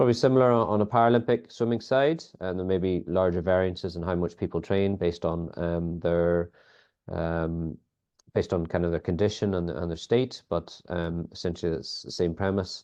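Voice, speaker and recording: A man speaks in a Northern Irish accent with a very deep, low pitch. His pace is fairly quick and his pitch varies in an ordinary way. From Northern Ireland. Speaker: sports biomechanics lead. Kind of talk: podcast interview. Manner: hesitant, many fillers.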